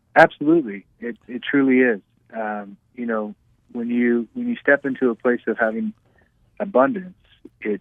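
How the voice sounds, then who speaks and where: A normal speaking voice comes through here, its pitch varying in an ordinary way. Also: man. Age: 30s. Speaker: entrepreneur and real estate investor. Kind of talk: radio interview.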